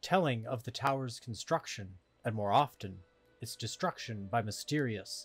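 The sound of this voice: This is an unforced reading voice. The pitch shows ordinary variation.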